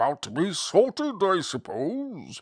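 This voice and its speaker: A put-on character voice at middle pitch with very wide pitch swings and a fairly slow pace, on a very clean recording with a silent background. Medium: read story. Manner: kindly, genial.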